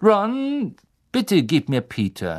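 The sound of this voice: A man does a put-on character voice, pitched high for a man. He talks at a very slow pace with very wide pitch swings.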